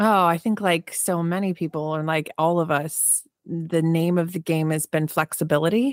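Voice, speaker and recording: A woman with a normal speaking voice and an American accent, fairly low in pitch, at a moderate pace with hardly any pauses, fairly even intonation, and dry, close sound with no echo. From New Jersey. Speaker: keynote speaker and business founder. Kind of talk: interview conversation. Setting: remote call.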